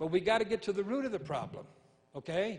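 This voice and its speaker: An animated man's voice, high in pitch, with an American accent. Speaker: evangelist and singer. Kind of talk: sermon with call-and-response; preacher in full flow, rousing sermon. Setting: church stage with live congregation. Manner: animated, exhorting, repeats lines for emphasis; rhythmic, punchy, crowd-prompting.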